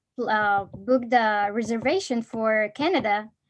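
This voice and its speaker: Speaking with an Arabic accent, a woman uses a fairly high pitch. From Egypt. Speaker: college student presenter. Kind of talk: casual chat.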